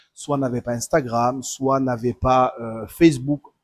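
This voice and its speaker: A man speaks at a fairly high pitch with a southern French accent. The sound is dry and close, with no echo. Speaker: tournament organizer. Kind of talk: livestream announcement. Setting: live stream. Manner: hesitant, many fillers.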